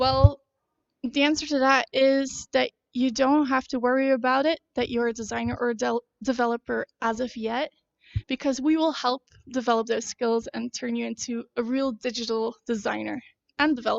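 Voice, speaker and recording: The sound is dry and close with no echo. A woman with a high pitch speaks at a moderate pace. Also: fairly even intonation. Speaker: university info session presenter. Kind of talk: livestream info presentation. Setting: livestream at campus info day.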